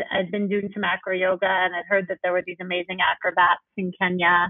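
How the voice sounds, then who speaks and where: Speaking at a moderate pace, a woman talks with a New York accent. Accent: New York American. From New York City. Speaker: yoga teacher and nonprofit founder. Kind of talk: casual interview.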